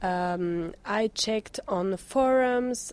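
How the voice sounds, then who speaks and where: With ordinary pitch variation, a woman talks in a dark, mellow tone. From France, Paris suburbs. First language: French (speaking German). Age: 20s. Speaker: blogger. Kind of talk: interview.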